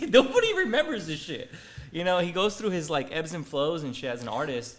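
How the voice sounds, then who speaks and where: A man's high, animated voice at a fairly quick pace, with very wide pitch swings over noticeable background noise. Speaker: YouTuber and futures trader. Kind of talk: casual chat. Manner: stutters at times.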